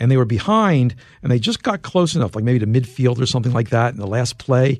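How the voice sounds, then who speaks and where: Against a quiet background, a man with a normal speaking voice talks at a fairly quick pace and medium pitch, his intonation lively. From US Northeast, Philadelphia. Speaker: tech journalist and author. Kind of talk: interview.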